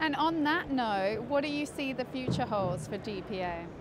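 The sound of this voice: A woman with a high pitch and lively intonation talks at a moderate pace over clear background noise.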